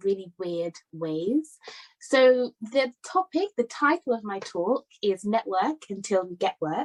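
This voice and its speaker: Lively intonation comes through in a British accent at a fairly slow pace. The recording is dry and close with no echo. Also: woman. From London, England. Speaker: summit speaker. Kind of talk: talk at virtual summit.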